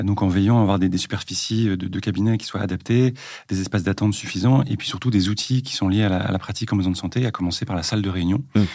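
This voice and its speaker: A man's fairly low voice races along at a very fast pace, its pitch varying in an ordinary way. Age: 40s. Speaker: general practitioner. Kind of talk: casual interview. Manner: hesitant, many fillers.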